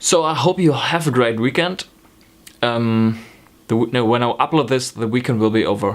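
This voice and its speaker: At a moderate pace, the speaker uses a slight German accent, ordinary pitch variation and very even loudness. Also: man, medium pitch for a man. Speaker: knitting vlogger. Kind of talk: casual vlog talk. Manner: hesitant, many ums.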